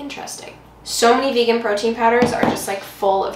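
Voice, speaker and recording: Against noticeable background noise, a woman speaks at a moderate pace. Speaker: cooking vlogger. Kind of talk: casual vlog chat. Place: kitchen. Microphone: camera far.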